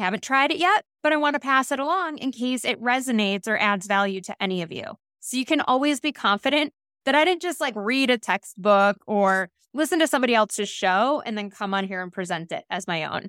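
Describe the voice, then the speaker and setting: Energetic and high-pitched, a woman speaks with very wide pitch swings. Her tone is bright and sharp. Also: fairly quick pace, dry, close sound with no echo, very clean recording, silent background. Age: middle-aged. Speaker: podcast host and life coach. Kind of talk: solo podcast monologue.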